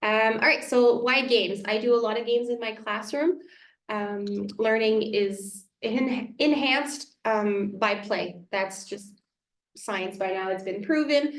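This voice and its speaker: A woman with a French accent speaks fairly slowly at a fairly high pitch with ordinary pitch variation. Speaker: elementary school teacher. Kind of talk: community workshop presentation. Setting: small room with a few parents.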